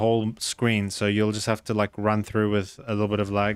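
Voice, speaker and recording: This is a man speaking. He has a South African accent. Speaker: video game streamer. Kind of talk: casual live-stream chat while gaming.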